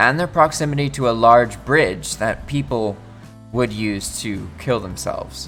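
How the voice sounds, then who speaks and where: Music plays behind a man with an upbeat tone. He speaks at a fairly slow pace. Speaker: reddit story narrator. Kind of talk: casual reading of online posts with reactions. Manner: casual, upbeat.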